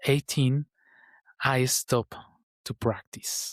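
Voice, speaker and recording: With a Colombian accent and fairly even intonation, a man speaks on a very clean recording with a silent background. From Colombia (Bogota). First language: Spanish. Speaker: meditation vlogger. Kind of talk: personal reflection vlog. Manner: halting, with fillers and repeats.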